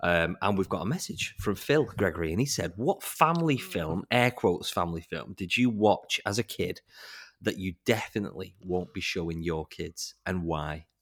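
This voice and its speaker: In a very clean recording with a silent background, a man speaks at a moderate pace in a very deep, low pitch with lively intonation. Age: 30s. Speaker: podcast co-host. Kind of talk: casual chat.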